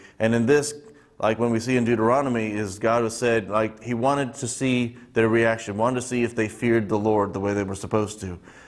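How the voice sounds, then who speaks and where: Speaking at a fairly quick pace, a man uses a medium pitch and fairly even intonation. Audible room echo surrounds his voice. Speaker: Bible teacher. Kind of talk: Bible study teaching. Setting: church. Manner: halting, many fillers.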